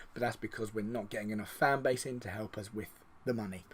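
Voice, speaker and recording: A man at a medium pitch with an English accent, very fast pace, very clean recording and silent background. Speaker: video game streamer. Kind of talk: gameplay commentary.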